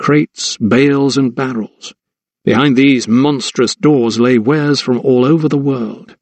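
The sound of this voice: Quiet background and an unforced reading voice.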